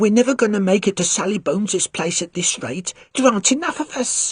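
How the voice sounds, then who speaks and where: A female-sounding, put-on character voice, shaky and at a medium pitch, moves at a fairly quick pace. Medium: read story. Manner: shaky, fearful.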